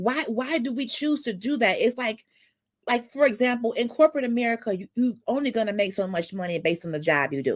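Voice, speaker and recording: A loud woman's fairly high voice at a fairly quick pace, with very wide pitch swings, in a very clean recording with a silent background. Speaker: livestream talk show host. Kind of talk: casual discussion.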